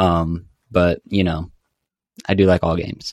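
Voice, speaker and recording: A man's voice, very deep and low in pitch, delivered in a monotone, flat intonation with a dry, close sound and no echo. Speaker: new co-host, gamer. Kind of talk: casual chat.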